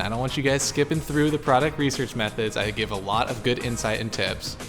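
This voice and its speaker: Clear music plays in the background. A man with a medium pitch talks at a very fast pace with ordinary pitch variation. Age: 20s. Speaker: e-commerce entrepreneur; e-commerce youtuber. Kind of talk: tutorial. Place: home room. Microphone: handheld.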